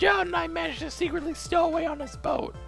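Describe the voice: A man uses a put-on character voice at an extremely high pitch, with vocal fry and fairly even intonation. He speaks at a fairly quick pace over clear music in the background.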